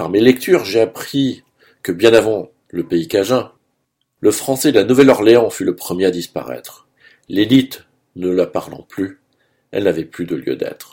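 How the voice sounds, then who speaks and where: A man's fairly low, dark and mellow voice with lively intonation, a fairly slow pace and long, frequent pauses. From Saint-Pierre-et-Miquelon. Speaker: radio columnist. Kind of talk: scripted radio commentary. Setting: radio studio.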